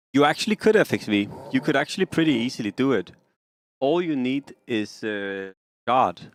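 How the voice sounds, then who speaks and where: With a slight Danish accent, a man talks at a moderate pace in a medium-pitched voice that swings very widely, the sound dry and close with no echo. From Denmark. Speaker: game streamer. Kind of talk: casual live-stream commentary. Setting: live stream.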